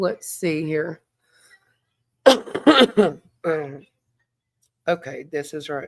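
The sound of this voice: A woman's hoarse, raspy put-on character voice, fairly low in pitch, very slow, with long, frequent pauses and lively intonation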